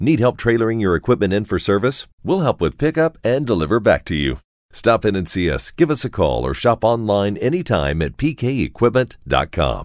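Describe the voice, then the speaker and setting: Using very wide pitch swings and vocal fry, a man speaks at a medium pitch. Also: moderate pace. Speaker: farm news radio host. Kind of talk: radio ad read. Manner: folksy.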